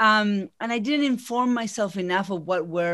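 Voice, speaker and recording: Lively intonation and a moderate pace in a plain, everyday voice, very clean recording, silent background. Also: woman. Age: 40s. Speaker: business coach. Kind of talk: interview.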